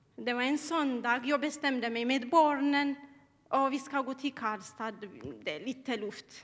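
A woman talks fairly slowly in a high pitch. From Eritrea. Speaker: church member. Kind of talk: testimony. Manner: halting.

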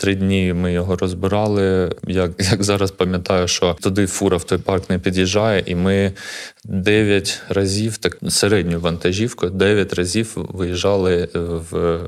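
This man's voice is very deep and low, flat and monotone. He talks fairly slowly at a very even loudness. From Ukraine, Kharkiv (Saltivka). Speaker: parkour coach and gym co-founder. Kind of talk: interview.

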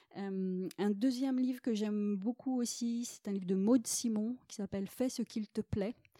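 The tone is dark and mellow, with fairly even intonation. The sound is dry and close with no echo, on a very clean recording with a silent background. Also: woman. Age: 40s. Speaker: shamanic therapist. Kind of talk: casual interview chat.

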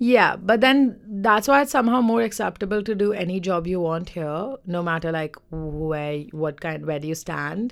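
In a very clean recording with a silent background, a woman uses a plain, everyday voice at a medium pitch and moderate pace with lively intonation. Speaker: podcast co-host. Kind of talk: casual banter podcast chat.

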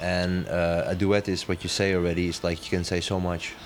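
Amid noticeable background noise, a man with a Dutch accent speaks at a fairly quick pace. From Netherlands, Amsterdam. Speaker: dancer and choreographer. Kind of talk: interview.

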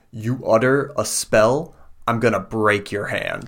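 A man uses a put-on character voice, growling at a medium pitch. He goes at a fairly slow pace in a very clean recording with a silent background. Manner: growling, threatening.

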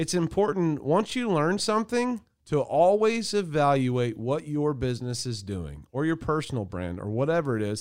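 With very wide pitch swings and hardly any pauses, a man talks at a moderate pace in a fairly high voice on a very clean recording with a silent background. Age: 30s. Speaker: marketing agency podcast host. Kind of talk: casual chat. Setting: studio.

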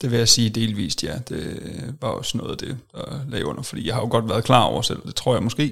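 Speaking at a fairly quick pace, a man uses a medium pitch with ordinary pitch variation and some vocal fry. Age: 20s. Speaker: software developer, former weight-loss client. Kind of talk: interview testimony. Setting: studio.

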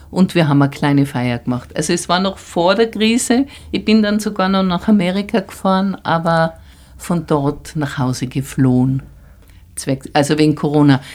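Speaking at a moderate pace, a woman has an unremarkable speaking voice. Her pitch is fairly low and her intonation lively. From Tyrol, Austria. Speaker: artist. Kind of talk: interview.

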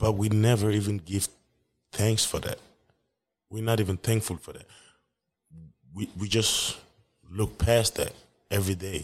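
A somewhat breathy man's voice, fairly low in pitch, at a moderate pace with fairly even intonation, big swings in loudness and long, frequent pauses, in a very clean recording with a silent background. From West Africa. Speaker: solo podcaster. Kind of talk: casual solo monologue. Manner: casual, profane, laid-back.

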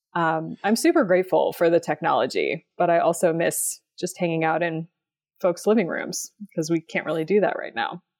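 Recorded very cleanly against a silent background with a dry, close sound with no echo, a woman has an unremarkable speaking voice, a fairly low pitch, ordinary pitch variation and a moderate pace. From West Texas. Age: 30s. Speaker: writer and runner. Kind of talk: casual interview.

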